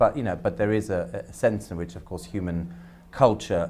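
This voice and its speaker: A man with a German accent talks at a fairly quick pace. His pitch is very deep and low, with vocal fry. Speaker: academic panelist. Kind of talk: panel discussion. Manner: halting, many repetitions and fillers.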